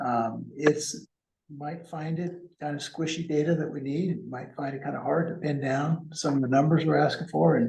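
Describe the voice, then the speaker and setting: Soft-spoken and somewhat breathy, a man with a fairly high voice talks at a moderate pace with fairly even intonation. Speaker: consultant presenting to a board. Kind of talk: meeting presentation. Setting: council meeting room, also on Zoom.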